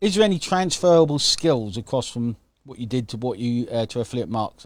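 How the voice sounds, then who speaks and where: On a very clean recording with a silent background, a man with a British accent speaks at a medium pitch with lively intonation. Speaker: affiliate marketing coach and livestream host. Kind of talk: live stream interview hosting. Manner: upbeat.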